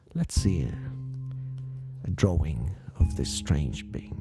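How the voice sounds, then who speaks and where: Music sits in the background while a man talks very slowly. His pitch is fairly low and swings very widely. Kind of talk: paranormal case narration. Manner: soft-spoken, slow.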